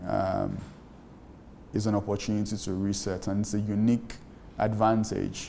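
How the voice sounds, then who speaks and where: A man's fairly low, dark and mellow voice in a Nigerian accent, monotone and flat, with audible room echo. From Nigeria (Lagos). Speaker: startup founder. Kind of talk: interview.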